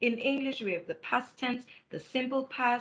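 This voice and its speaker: Bright and sharp in tone, a woman speaks with a South African accent. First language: isiZulu. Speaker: academic writing lecturer. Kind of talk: webinar lecture.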